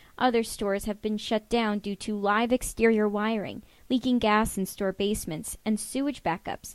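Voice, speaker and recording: Here a woman talks at a moderate pace with hardly any pauses. Her intonation stays fairly even in a normal speaking voice. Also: fairly high pitch for a woman. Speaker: television news reporter. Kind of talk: broadcast news reporter package narration.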